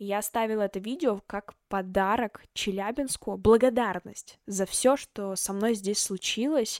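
Recorded very cleanly with a silent background and a dry, close sound free of echo, a woman speaks in an animated tone at a fairly slow pace and medium pitch. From Russia, Chelyabinsk (Southern Urals). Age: young. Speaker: podcast host, journalism student. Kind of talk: solo podcast talk.

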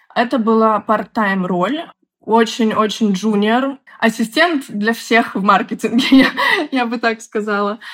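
Fairly high-pitched, an unremarkable speaking voice from a woman, with ordinary pitch variation. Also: fairly slow pace. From Belarus, Minsk. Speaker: product manager. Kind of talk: interview.

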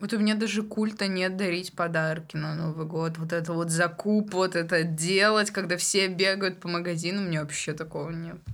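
A woman with a fairly low pitch talks in a monotone, flat intonation with hardly any pauses. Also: moderate pace. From Tyumen region, Russia. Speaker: podcast co-host. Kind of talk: casual chat.

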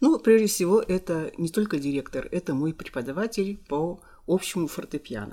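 A woman with a dark, mellow tone speaks at a moderate pace with lively intonation. The recording is very clean, with a silent background. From Kirovo-Chepetsk, Kirov region, Russia. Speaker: music school teacher. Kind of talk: casual interview.

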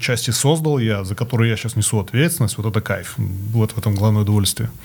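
On a very clean recording with a silent background, a man talks at a fairly quick pace. His voice is somewhat breathy and medium in pitch, with ordinary pitch variation. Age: 40s. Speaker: corporate manager, former musician. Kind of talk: casual chat. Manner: halting.

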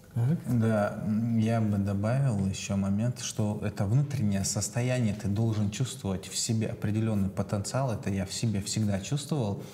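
With noticeable background noise behind him, a man speaks at a moderate pace and fairly low pitch with ordinary pitch variation. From Chechnya. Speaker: entrepreneur, personal brand marketer. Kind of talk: casual chat.

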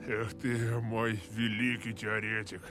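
A man's put-on character voice at a medium pitch, fairly slow in pace, over loud background noise. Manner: exaggerated, put-on, disappointed.

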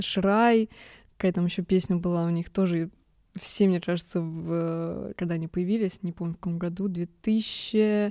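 Recorded very cleanly with a silent background and a dry, close sound with no echo, a woman speaks at a moderate pace in a fairly low pitch, her dark, mellow tone delivered in monotone, flat intonation. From Germany. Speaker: music podcast host. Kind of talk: casual monologue. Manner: emotional, trembling voice.

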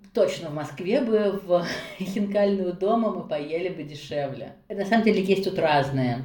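Speaking at a fairly slow pace, a woman uses a medium pitch with ordinary pitch variation. Audible room echo and noticeable background noise fill the recording. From Russia, Nizhny Novgorod. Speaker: interview guest, mother and book blogger. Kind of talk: casual interview. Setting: call.

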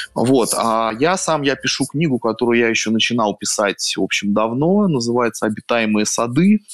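A man speaks at a moderate pace in a normal speaking voice, with hardly any pauses, ordinary pitch variation and very even loudness. The sound is dry and close with no echo. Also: medium pitch for a man. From Russia, Saint Petersburg. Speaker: writer and columnist. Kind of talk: casual interview chat.

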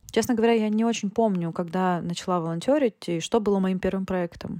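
With a dark, mellow tone and ordinary pitch variation, a woman speaks at a very fast pace on a very clean recording with a silent background. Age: 20s. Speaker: technical writer and volunteer. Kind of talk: recorded voice message testimony.

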